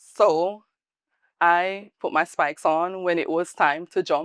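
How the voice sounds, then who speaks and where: Speaking very slowly with a slight Jamaican accent, a woman uses a fairly low pitch and fairly even intonation, heard as a dry, close sound with no echo over a quiet background. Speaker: salon owner, former athlete. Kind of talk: interview.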